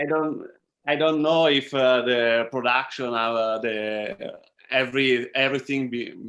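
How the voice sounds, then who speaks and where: Speaking at a very slow pace, a man in an Italian accent keeps a medium pitch with ordinary pitch variation. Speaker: filmmaker. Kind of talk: Q&A panel talk. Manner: halting.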